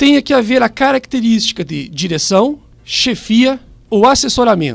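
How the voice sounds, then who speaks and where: A man's fairly slow speech with a southern Brazilian accent. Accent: gaúcho. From southern Brazil (Rio Grande do Sul). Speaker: public prosecutor. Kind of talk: radio interview, explaining the law. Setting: radio studio, live. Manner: formal.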